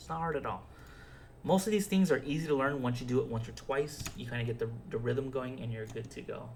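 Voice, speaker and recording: Fairly quick male speech with audible room echo. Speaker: video game modding tutor. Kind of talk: tutorial. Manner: fast; hesitant, filler-heavy.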